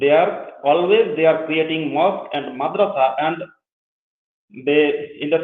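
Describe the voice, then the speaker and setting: In a Bengali accent, a man talks with fairly even intonation. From Bangladesh. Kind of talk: interview. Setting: live show. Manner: halting.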